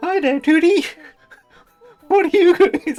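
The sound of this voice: A squeaky, put-on character voice at an extremely high pitch moves at a fairly slow pace over faint music in the background.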